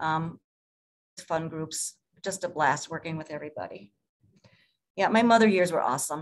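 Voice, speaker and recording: The woman's pitch is fairly low, with ordinary variation. She talks at a moderate pace. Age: 60s. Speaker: palliative care nurse. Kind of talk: presentation. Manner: hesitant, many fillers.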